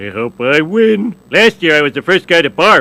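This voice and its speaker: The speaker puts on a whiny character voice. The delivery moves at a moderate pace. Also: man, high pitch for a man. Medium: video game. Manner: dim, whiny, excitable.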